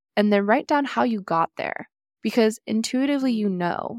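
Using a normal speaking voice with an American accent, a woman at medium pitch talks at a fairly quick pace with ordinary pitch variation, on a very clean recording with a silent background and a dry, close sound with no echo. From California. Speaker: podcast host and nutrition coach. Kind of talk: casual interview chat.

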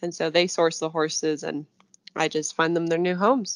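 Against a quiet background, a plain, everyday voice with an American accent and fairly even intonation comes through with a dry, close sound and no echo. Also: woman. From US. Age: 20s. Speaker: equestrian eventing rider. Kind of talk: interview.

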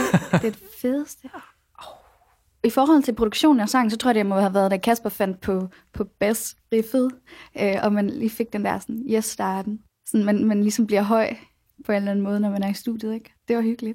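Here a woman talks at a moderate pace with a dark, mellow tone. The recording is very clean, with a silent background. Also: fairly high pitch for a woman, fairly even intonation. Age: 20s. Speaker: pop singer-songwriter. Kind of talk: radio interview. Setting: radio studio.

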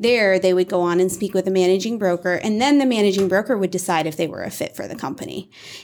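In an American accent, a woman speaks at a medium pitch with ordinary pitch variation and an unremarkable speaking voice. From Iowa, US Midwest. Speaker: real estate brokerage executive. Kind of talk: casual interview.

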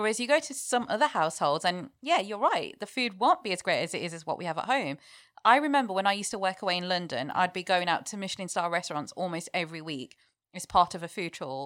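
A woman speaks very fast with a British accent, her pitch medium and her intonation lively. Her loudness swings widely, and the recording is very clean with a silent background. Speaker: chef. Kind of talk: casual chat.

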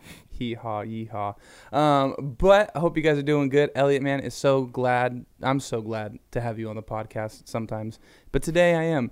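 A man with an ordinary speaking voice talks at a medium pitch and a moderate pace with ordinary pitch variation, in a very clean recording with a silent background. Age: 20s. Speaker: youth pastor. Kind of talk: casual chat.

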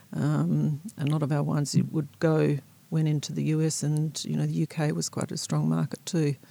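A woman with an Australian accent and very even loudness. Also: moderate pace. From South Australia, rural. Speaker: winemaker. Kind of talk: interview. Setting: studio.

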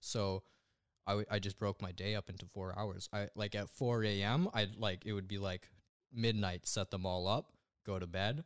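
In a Western Canadian accent, a man speaks with a fairly low pitch, fairly even intonation and a moderate pace. The recording is very clean, with a silent background. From western Canada (Alberta, raised in Langley, BC). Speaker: young online entrepreneur, web designer. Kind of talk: casual interview chat.

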